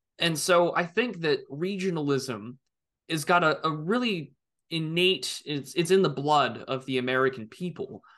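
A man speaks in a normal speaking voice, fairly high in pitch, with lively intonation at a moderate pace. The background is quiet. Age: 20s. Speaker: political commentator. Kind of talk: casual interview.

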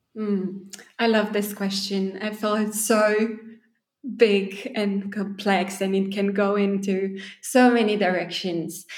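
A woman's very slow, monotone speech with flat intonation, in a Romanian accent. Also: medium pitch for a woman. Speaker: poet and spoken word artist. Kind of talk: interview conversation.

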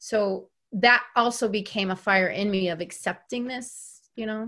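In a quiet background, a woman with an American accent uses an ordinary speaking voice at a medium pitch. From North Carolina. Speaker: educator and instructional coach. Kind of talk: interview.

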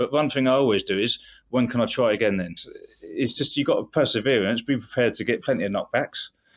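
Over a silent background in a very clean recording, a man with an English accent talks at a very fast pace with lively intonation. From England. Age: 40s. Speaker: bodyguard and actor. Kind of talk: interview conversation.

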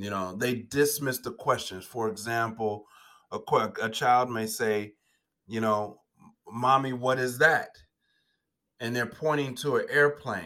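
With a bright, sharp tone, a man speaks at a fairly slow pace and medium pitch, with ordinary pitch variation and long, frequent pauses, on a very clean recording with a silent background. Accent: Chicago. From Chicago, US Midwest. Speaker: educator and education entrepreneur. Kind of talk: interview.

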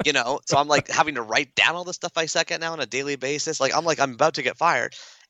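At a very fast pace, a man with a Canadian accent talks in a fairly high voice. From Toronto area, Canada. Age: 40s. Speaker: author and speaker. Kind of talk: casual interview.

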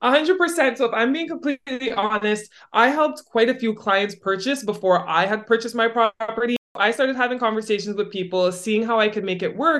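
A normal speaking voice from a woman with a Canadian accent, fairly high in pitch and lively in intonation, at a fairly quick pace with hardly any pauses. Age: 20s. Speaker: real estate broker and retired athlete. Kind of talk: podcast interview.

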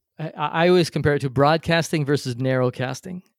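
An ordinary speaking voice from a man, fairly high in pitch with ordinary pitch variation, dry and close with no echo, on a very clean recording with a silent background. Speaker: podcast host and interview coach. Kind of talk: casual interview conversation.

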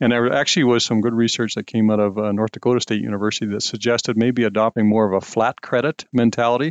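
A man with a normal speaking voice speaks at a medium pitch, his intonation fairly even. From Saskatchewan, Canada. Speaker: agricultural scientist. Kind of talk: interview.

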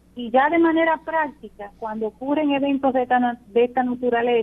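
This is a woman speaking. She has a normal speaking voice. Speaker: police general. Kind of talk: radio interview. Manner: formal.

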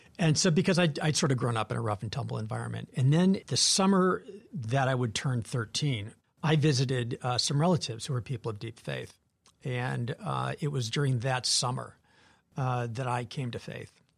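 A man at a moderate pace, somewhat breathy, with lively intonation over a quiet background. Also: medium pitch for a man. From Wisconsin, Janesville. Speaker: nonprofit CEO and former federal agency head. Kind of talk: interview.

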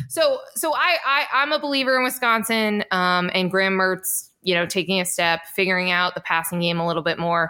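A woman talks at a moderate pace and medium pitch with hardly any pauses, lively intonation, a bright, sharp tone and very even loudness. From Central New Jersey. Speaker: college football reporter. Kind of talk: casual chat.

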